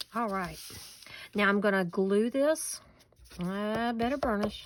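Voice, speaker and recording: With a Southern US accent, a woman speaks at a fairly slow pace. Her voice is fairly high and relaxed in tone. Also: ordinary pitch variation. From US South, western North Carolina. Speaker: paper crafter. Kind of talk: tutorial; casual chat. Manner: relaxed, folksy.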